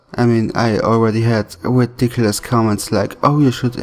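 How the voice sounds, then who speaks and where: With music in the background, a man at medium pitch talks at a moderate pace and keeps his intonation fairly even. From Austria. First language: German. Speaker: YouTube animator. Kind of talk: Q&A video.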